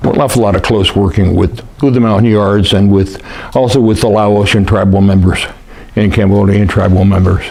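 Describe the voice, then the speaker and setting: A man at a fairly quick pace and fairly low pitch, with noticeable background noise and audible room echo. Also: very even loudness. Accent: American. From US West, Lake Tahoe area. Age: 70s. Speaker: war veteran. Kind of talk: oral history interview. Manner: halting, many fillers.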